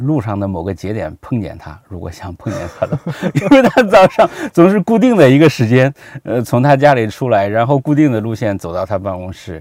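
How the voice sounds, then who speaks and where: This man's voice shows very wide pitch swings. His loudness rises and falls in big swings. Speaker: history researcher and narrator. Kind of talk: interview conversation. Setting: studio, in person. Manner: relaxed; talkative.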